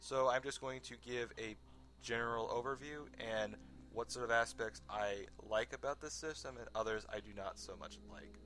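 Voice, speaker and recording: A man at a moderate pace with big swings in loudness, music in the background. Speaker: video game reviewer. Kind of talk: scripted review narration. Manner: stutter.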